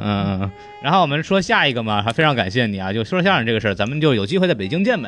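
The voice is a natural reading voice.

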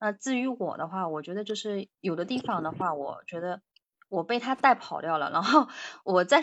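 With lively intonation, a woman speaks at a moderate pace in a medium pitch. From near Shanghai. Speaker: doctor. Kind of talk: casual chat practice. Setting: online voice call.

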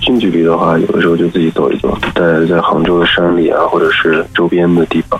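A man with a very deep, low pitch talks at a very fast pace over noticeable background noise. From northwest China. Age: 30s. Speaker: human resources worker, radio show guest. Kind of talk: interview, heartfelt talk.

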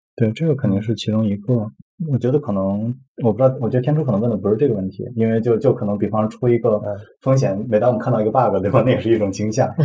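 Fairly even in intonation, a somewhat breathy man speaks at a very fast pace. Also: medium pitch for a man. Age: 40s. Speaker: software engineer. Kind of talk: casual chat. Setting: over a meal.

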